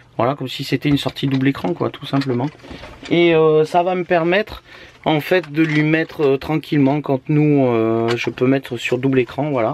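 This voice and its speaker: With noticeable background noise, a man speaks at a moderate pace and a fairly high pitch, with ordinary pitch variation. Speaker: family vlogger. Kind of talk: casual vlog talk. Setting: in a camper van. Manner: hesitant.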